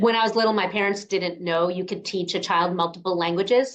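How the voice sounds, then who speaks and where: Very fast speech comes from a woman with an American accent. Her pitch varies in an ordinary way. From New York, US. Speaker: podcast host. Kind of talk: interview conversation.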